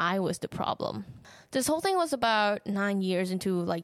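At a moderate pace, a woman speaks with a Thai accent, the sound dry and close with no echo. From Thailand. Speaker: podcast host. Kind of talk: personal monologue.

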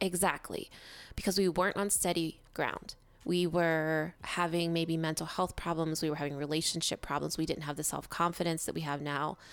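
Nervous and animated, a woman speaks at a fairly low pitch and moderate pace in a very clean recording with a silent background. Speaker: podcast co-host. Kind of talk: casual conversational podcast discussion. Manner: animated, nervous and jittery about the episode.

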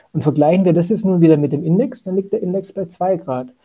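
A man's voice, high in pitch. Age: 40s. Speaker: asset management sustainability lead. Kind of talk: interview.

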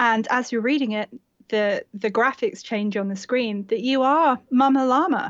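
A woman with a high-pitched voice and ordinary pitch variation speaks at a moderate pace. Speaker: blogger and mother. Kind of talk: casual chat.

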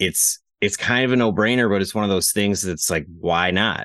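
This man has a plain, everyday voice, fairly low in pitch with ordinary pitch variation. He talks at a fairly quick pace against a quiet background. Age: 30s. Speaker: gun case company co-founder. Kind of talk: casual chat. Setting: home garage.

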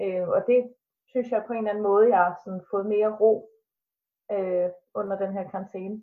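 A woman speaks at a moderate pace and a medium pitch. Her intonation is monotone and flat, broken by long, frequent pauses. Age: 20s. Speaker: student and fitness trainer, family member of mentally ill person. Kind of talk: casual interview. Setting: video call from home kitchen. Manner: hesitant, many filler sounds.

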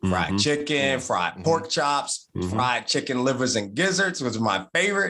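A man with a Southern US accent talks at a fairly quick pace, his pitch medium with very wide swings. His tone is bright and sharp, and his loudness stays very even. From Martinsville, Virginia. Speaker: bourbon podcast co-host. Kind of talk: casual chat.

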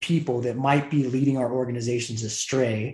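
A man's somewhat breathy voice at medium pitch. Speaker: podcast host. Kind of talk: interview.

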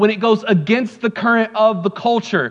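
A man with a high pitch and a warm tone speaks at a moderate pace over noticeable background noise. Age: 30s. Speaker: pastor. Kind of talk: Sunday sermon in a contemporary church, with call-and-response to the congregation. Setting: church service with live congregation, also streamed online. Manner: warm, conversational preaching that builds into emphatic, repetitive declarations; frequent fillers and restarts (um, uh, repeated words).

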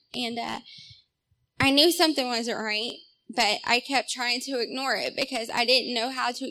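At a moderate pace, the speaker uses a Southern US accent, a bright, sharp tone and fairly even intonation. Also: woman. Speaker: testimony giver. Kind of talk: testimony. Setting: church.

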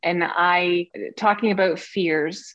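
A woman talks with vocal fry. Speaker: communications director at theme park. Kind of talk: casual interview chat.

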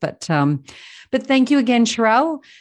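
A woman with an Australian accent at a moderate pace with very wide pitch swings, on a very clean recording with a silent background. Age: 40s. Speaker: podcast host, financial coach. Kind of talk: interview.

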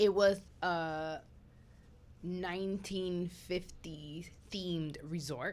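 With long, frequent pauses, a woman speaks very slowly in a fairly low voice with fairly even intonation. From New York. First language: not English. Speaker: podcast host. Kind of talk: casual chat. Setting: studio.

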